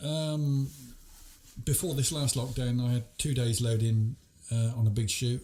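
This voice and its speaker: At a fairly slow pace with long, frequent pauses, the voice has a dark, mellow tone, somewhat breathy, with fairly even intonation and very even loudness. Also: man, medium pitch for a man. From Oxfordshire, England. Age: 70s. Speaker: farmer. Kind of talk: casual chat.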